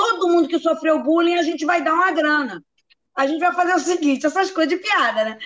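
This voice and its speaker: The woman's voice sits at an extremely high pitch, with ordinary pitch variation. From Rio de Janeiro, Brazil. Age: old. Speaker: comedy writer. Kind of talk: casual chat.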